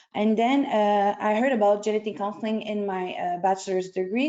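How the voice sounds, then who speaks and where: A woman talks with fairly even intonation. Music plays in the background. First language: French. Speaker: genetic counselling student. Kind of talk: webinar panel talk. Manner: halting.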